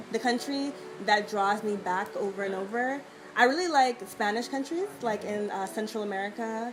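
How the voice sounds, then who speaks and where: Noticeable background noise surrounds a woman speaking at a moderate pace in a fairly high pitch. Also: ordinary pitch variation. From Jamaica. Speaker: travel blogger. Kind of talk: casual interview. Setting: outdoors at a beach.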